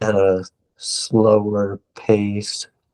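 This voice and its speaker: Monotone, flat intonation, recorded dry and close without any echo. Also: man. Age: 20s. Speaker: patient with a rare disease. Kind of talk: interview. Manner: slow; syllables sometimes stumble over each other.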